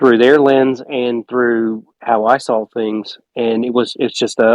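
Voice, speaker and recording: A man with a Southern US accent speaks at a moderate pace and medium pitch, his intonation fairly even, in a dry, close recording with no echo. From South Carolina (Gaffney). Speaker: film director. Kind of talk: casual chat.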